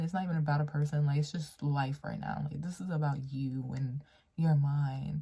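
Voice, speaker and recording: A woman's somewhat breathy voice has a dark, mellow tone and a very deep, low pitch. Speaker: tarot reader. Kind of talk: tarot reading to camera. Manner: casual, conversational.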